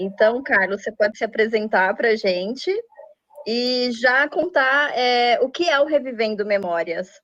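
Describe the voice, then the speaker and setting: A woman's high voice unfolds at a fairly slow pace. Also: lively intonation. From Brazil. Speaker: journalist and interviewer. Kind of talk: interview.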